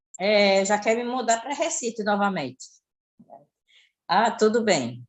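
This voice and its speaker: Her fairly high voice carries vocal fry and lively intonation as the woman speaks at a fairly slow pace. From Pernambuco, Brazil. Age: 60s. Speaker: caller. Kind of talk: casual chat.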